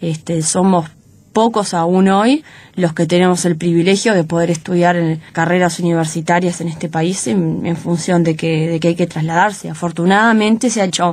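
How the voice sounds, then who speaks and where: Fairly even intonation from a woman with a fairly low pitch, at a moderate pace. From Uruguay, interior (Paysandú). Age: 20s. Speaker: lawyer and campaign spokesperson. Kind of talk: radio interview. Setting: radio studio. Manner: frequent fillers and repetitions.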